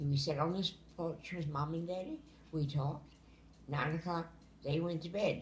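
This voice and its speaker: A woman's somewhat breathy, fairly low voice at a moderate pace, with ordinary pitch variation. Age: 80s+. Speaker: grandmother telling family memories. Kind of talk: storytelling, casual family conversation. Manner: casual, frank.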